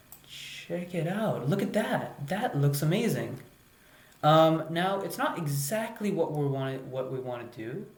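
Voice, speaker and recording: Noticeable background noise runs under the clip. The speech moves at a fairly slow pace. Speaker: coding teacher. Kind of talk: tutorial. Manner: hesitant with many fillers.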